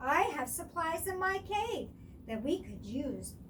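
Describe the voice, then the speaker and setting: Doing a squeaky, put-on character voice, a woman speaks at a fairly slow pace over clear background noise. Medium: read story.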